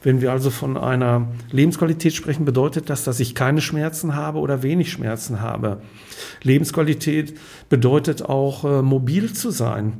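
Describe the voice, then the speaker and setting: At a moderate pace, a man with a fairly high pitch speaks in a dark, mellow, somewhat breathy tone with ordinary pitch variation. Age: 60s. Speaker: clinical hypnotherapist and company director. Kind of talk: podcast conversation.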